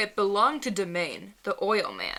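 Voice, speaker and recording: A woman puts on a husky, gruff character voice at medium pitch and a moderate pace. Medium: read story. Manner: paternal contempt, domineering.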